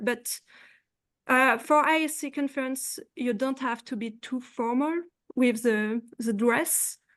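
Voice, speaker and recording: Speaking with a French accent, a woman keeps a high pitch and fairly even intonation at a fairly slow pace. The background is quiet. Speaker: postdoctoral researcher. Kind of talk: panel discussion. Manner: halting.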